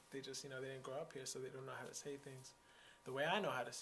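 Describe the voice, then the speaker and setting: Heard with audible room echo, a man speaks at a fairly high pitch with an American accent. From Texas. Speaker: interviewee. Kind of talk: interview. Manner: casual, hesitant with fillers.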